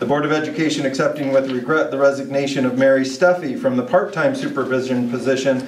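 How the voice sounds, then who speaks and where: Speech races along at a very fast pace, with audible echo from the room and a little background noise. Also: man. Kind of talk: formal reading of meeting agenda items. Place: meeting room.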